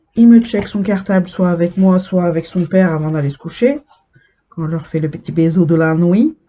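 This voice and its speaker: A woman's voice, somewhat breathy, moves with ordinary pitch variation. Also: fairly low pitch for a woman, moderate pace. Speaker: cross-stitch vlogger. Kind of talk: casual chat.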